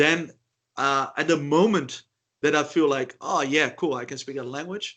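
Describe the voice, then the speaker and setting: Speaking with a Dutch accent over a quiet background, a man with a fairly high pitch and ordinary pitch variation shows big swings in loudness. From Netherlands. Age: 30s. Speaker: polyglot. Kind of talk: interview. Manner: halting.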